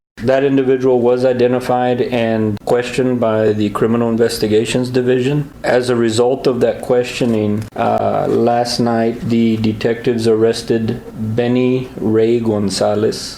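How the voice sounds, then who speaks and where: Against noticeable background noise, a man speaks in a monotone, flat intonation with very even loudness and hardly any pauses. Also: medium pitch for a man, moderate pace. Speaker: police captain giving an interview. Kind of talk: interview answer.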